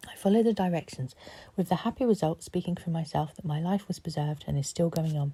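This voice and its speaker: A woman with a fairly low pitch talks at a fairly quick pace in a soothing, dark, mellow tone. Her voice is somewhat breathy, with ordinary pitch variation. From Cornwall, England. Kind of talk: sleep story. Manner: soft-spoken, soothing.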